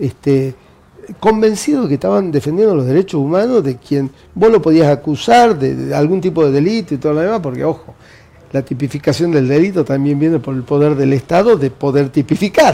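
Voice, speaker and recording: Noticeable background noise accompanies a man whose intonation is lively. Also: fairly quick pace. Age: 60s. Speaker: party official and university administrator. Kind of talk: interview.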